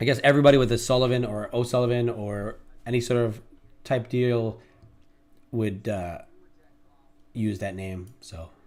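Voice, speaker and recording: A man speaks at a moderate pace with fairly even intonation. His loudness swings widely, and he takes long, frequent pauses. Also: medium pitch for a man. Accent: New York. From New York City. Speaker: day trader, live streamer, former police officer. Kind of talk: live trading stream chat.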